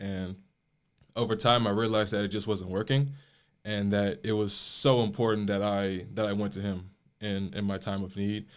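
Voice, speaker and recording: This is a man with an ordinary speaking voice and an American accent, pitched fairly low with fairly even intonation. He speaks at a moderate pace on a very clean recording with a silent background. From US Midwest, Chicago south suburbs. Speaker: college student. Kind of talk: interview.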